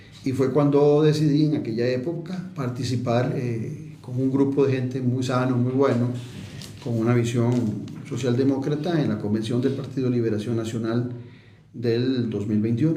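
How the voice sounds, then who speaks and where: In a room with audible echo, a man with a Costa Rican accent speaks at a moderate pace with fairly even intonation. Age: 60s. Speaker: politician and political analyst. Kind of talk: radio interview. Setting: radio studio.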